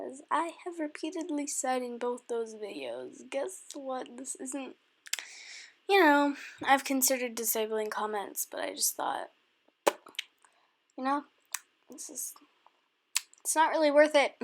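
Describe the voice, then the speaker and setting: This woman's voice sits high in pitch. She talks at a fairly slow pace, with long, frequent pauses. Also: ordinary pitch variation. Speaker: YouTuber, digital artist. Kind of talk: casual vlog explanation. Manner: hesitant, filler-heavy.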